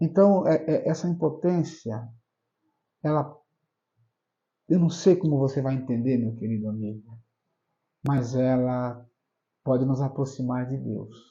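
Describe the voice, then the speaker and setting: At a fairly slow pace with long, frequent pauses, a man speaks in a somewhat breathy voice at a medium pitch with ordinary pitch variation. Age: 60s. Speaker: pastor. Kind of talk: interview. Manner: halting, repeats words.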